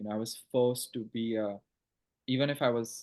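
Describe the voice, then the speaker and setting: Moderate pace with an Assam accent. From Northeast India, Assam (Guwahati). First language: Assamese. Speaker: writer and PhD student. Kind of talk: casual interview chat. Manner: halting, many fillers.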